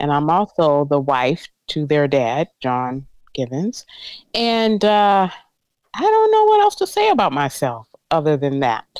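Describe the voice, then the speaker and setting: A woman with a South Carolina accent speaks fairly slowly at a very deep, low pitch, her intonation lively. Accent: Southern US (South Carolina). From US South, Columbia, South Carolina. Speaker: mother of host, guest. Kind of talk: casual chat.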